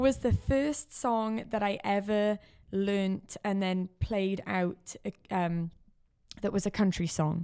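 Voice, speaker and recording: A woman with a South Wales accent speaks at a very slow pace. Her medium-pitched voice has a dark, mellow tone. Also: ordinary pitch variation. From Wales, Caerphilly, South Wales. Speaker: country singer-songwriter. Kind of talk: podcast interview.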